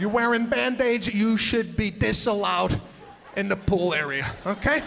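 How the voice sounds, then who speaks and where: A man talks at a moderate pace in a high voice with lively intonation. There is noticeable background noise. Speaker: stand-up comedian. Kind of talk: stand-up comedy set. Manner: energetic.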